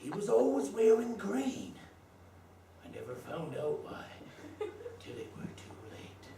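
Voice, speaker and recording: A man puts on a character voice with a West Country accent, speaking at a fairly slow pace with long, frequent pauses. There is slight echo and clear background noise. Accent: West Country pirate. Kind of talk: comic overacting. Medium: stage play. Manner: rambling, boastful, cackling.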